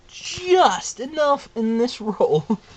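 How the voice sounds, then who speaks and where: A man talks with very wide pitch swings while noticeable background noise runs underneath. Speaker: crafter making plush toys. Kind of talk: casual craft tutorial vlog. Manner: sounds out of it, yawning; hesitant, halting.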